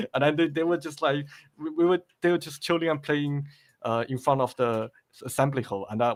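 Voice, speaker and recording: Big swings in loudness mark a man's fairly high voice. He talks at a fairly quick pace with ordinary pitch variation. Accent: slight Chinese. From China, moved to Australia late primary school. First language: Chinese. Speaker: game level creator. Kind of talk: podcast interview. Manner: halting, many repetitions.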